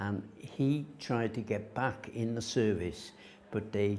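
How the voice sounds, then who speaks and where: Speaking fairly slowly with a North Welsh accent, a man has a dark, mellow tone, a fairly low pitch and ordinary pitch variation. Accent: north Wales English. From north Wales, Rhuddlan. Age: 80s+. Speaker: local resident sharing heritage memories. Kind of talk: oral history interview. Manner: halting, with frequent fillers.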